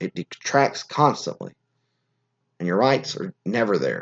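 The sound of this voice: A man speaks at a moderate pace with lively intonation and a slightly mellow tone.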